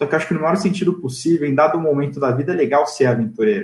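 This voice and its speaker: A man's somewhat breathy voice, pitched fairly high. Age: 20s. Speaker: M&A advisor. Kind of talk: interview. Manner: casual.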